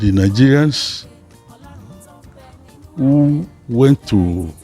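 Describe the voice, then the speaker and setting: Lively intonation from a man at a medium pitch, with music in the background. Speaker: consulting engineer, company founder. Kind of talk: interview answer.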